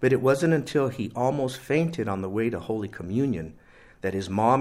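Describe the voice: Someone reads aloud plainly here.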